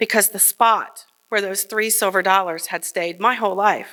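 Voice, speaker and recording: A woman with a Midwestern American accent speaks at a fairly quick pace with a medium pitch, a bright, sharp tone and fairly even intonation. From Kenton, Ohio. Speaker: journalist. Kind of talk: live personal storytelling on stage. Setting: stage before live audience.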